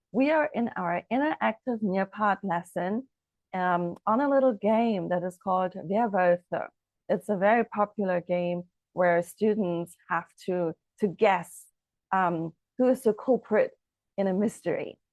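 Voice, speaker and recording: Speaking at a fairly slow pace with long, frequent pauses, a woman with a German accent comes through in a dry, close sound with no echo. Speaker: language teacher. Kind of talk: promotional explainer; tutorial.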